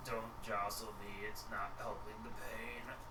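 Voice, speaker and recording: A man uses a put-on character voice at a fairly slow pace. Loud background noise is present. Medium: actual play. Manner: weary, hesitant.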